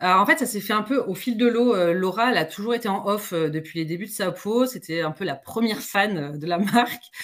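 At a moderate pace, a woman with a medium pitch speaks with lively intonation and hardly any pauses. Noticeable background noise runs underneath. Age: 40s. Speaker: entrepreneur. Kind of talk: casual interview.

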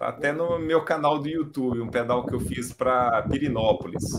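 A man speaks at a fairly slow pace in a medium pitch with ordinary pitch variation and a plain, everyday voice. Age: 50s. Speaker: amateur cyclist. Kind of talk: casual chat. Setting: live video stream.

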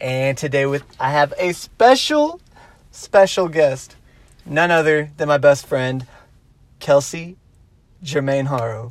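A man with a fairly high pitch speaks at a fairly slow pace in a Texan accent. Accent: Texan American English. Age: 20s. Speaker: podcast host. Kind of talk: casual chat. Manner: loud.

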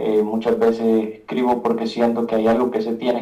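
A man's medium-pitched voice, dark and mellow in tone, flat and monotone at a moderate pace, with audible room echo. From Guatemala. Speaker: rapper and beatmaker. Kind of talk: casual interview chat. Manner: halting, many repetitions.

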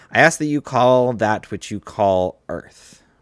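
A man with a normal speaking voice and lively intonation, on a very clean recording with a silent background. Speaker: podcast host leading a guided meditation. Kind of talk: guided meditation. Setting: solo home recording. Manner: slow, calm, soothing, gently paced with pauses.

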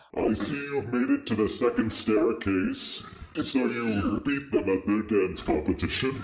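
Clear background noise sits behind a put-on character voice with a menacing, theatrical tone at a moderate pace. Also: man, medium pitch for a man. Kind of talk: comic spooky villain. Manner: menacing, theatrical, taunting.

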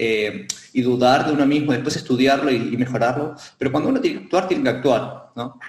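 Someone talks at a fairly quick pace. Noticeable background noise and audible room echo surround the voice. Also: man. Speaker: martial arts instructor. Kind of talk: casual chat. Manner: halting, many fillers.

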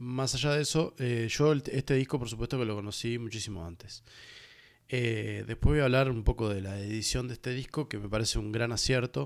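A man with a Uruguayan accent speaks at a fairly quick pace, his pitch medium and its variation ordinary. The recording is very clean, with a silent background. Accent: Rioplatense Spanish (Uruguayan). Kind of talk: solo music review podcast. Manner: hesitant, many fillers and repetitions.

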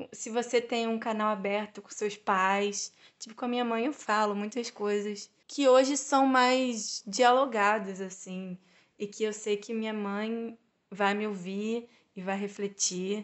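Her intonation fairly even, a woman talks at a fairly slow pace with a fairly high pitch. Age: 20s. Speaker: economics student and intern. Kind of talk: casual interview. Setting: in-person recording.

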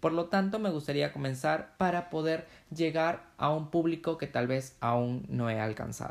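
A normal speaking voice from a man, at a moderate pace with ordinary pitch variation. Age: 20s. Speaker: blogger and podcaster. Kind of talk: podcast introduction monologue.

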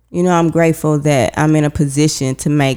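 This woman speaks with an American accent and a very deep, low pitch. Her tone is dark and mellow, and her intonation stays fairly even. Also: very clean recording, silent background. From Texas, Houston. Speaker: lawyer. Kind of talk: casual interview.

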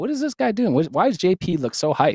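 A man with a Canadian accent and lively intonation in a dry, close sound with no echo. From Saskatchewan, Canada. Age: 30s. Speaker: sales trainer and content creator. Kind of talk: interview. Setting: studio.

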